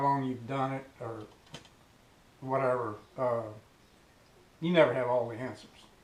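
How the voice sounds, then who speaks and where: A man's medium-pitched voice at a moderate pace with fairly even intonation, amid noticeable background noise and audible room echo. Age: 60s. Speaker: fishing YouTuber. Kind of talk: casual tutorial. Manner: hesitant, many filler words.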